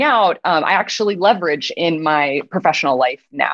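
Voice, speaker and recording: A woman with an American accent talks at a moderate pace in an ordinary speaking voice, her fairly low pitch showing ordinary pitch variation. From US Midwest. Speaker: biotech CEO. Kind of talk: interview.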